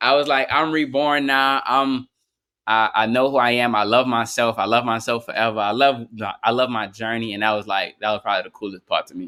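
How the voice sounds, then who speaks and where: A man talks at a fairly quick pace with a New Orleans accent. His pitch is medium and his intonation fairly even. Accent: New Orleans accent, noticeable. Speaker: rapper. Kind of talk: casual interview.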